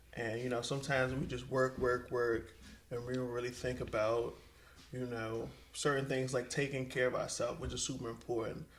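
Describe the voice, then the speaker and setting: A man speaks at a fairly quick pace in an American accent. His intonation is monotone and flat, with audible room echo. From mixed: Miami, Richmond, Colorado, DC area. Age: 30s. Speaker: entrepreneur. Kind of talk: casual chat.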